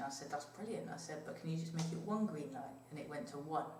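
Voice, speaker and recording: Over noticeable background noise and audible room echo, a woman with a fairly low pitch talks at a fairly quick pace. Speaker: paranormal investigator. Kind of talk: casual chat. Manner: soft-spoken.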